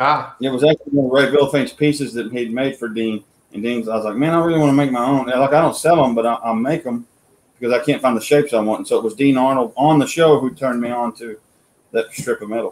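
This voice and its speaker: With fairly even intonation, a man rattles along at a very fast pace. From Oklahoma. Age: 30s. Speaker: sculptor and woodcarver; guest. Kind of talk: casual chat. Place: home room. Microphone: video call.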